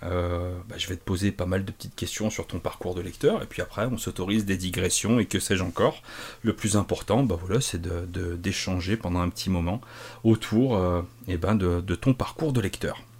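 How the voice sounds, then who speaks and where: A man speaks somewhat breathily at a fairly low pitch and a moderate pace. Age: 30s. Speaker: podcast host. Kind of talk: casual chat.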